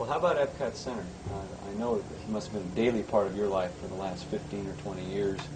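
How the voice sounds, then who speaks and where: A man with a fairly low pitch talks very fast in fairly even intonation. There is audible room echo and noticeable background noise. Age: 20s. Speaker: company interviewer. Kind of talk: interview. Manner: halting.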